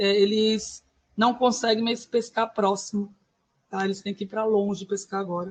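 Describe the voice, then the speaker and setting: A woman speaks with a somewhat breathy voice at a fairly high pitch. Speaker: schoolteacher, course participant. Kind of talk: online class presentation. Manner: fast.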